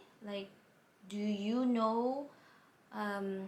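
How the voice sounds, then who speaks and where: A woman with a non-native accent, medium pitch and fairly even intonation, amid noticeable background noise and audible room echo. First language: not English. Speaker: vlogger, plant buyer. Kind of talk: personal story vlog.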